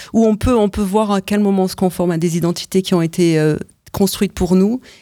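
A woman's voice with music in the background. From France. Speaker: choreographer and performer. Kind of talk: radio interview. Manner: halting, many repetitions.

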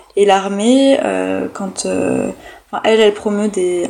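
Noticeable background noise sits behind a woman of medium pitch who talks at a fairly slow pace with ordinary pitch variation. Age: 20s. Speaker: history PhD student. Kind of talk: interview.

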